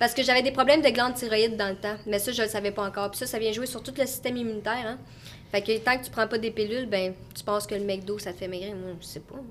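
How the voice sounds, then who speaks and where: A woman speaks very fast in a Quebec accent. Her pitch is fairly high, with ordinary variation. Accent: Québécois French. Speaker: content creator. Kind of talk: casual chat. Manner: animated.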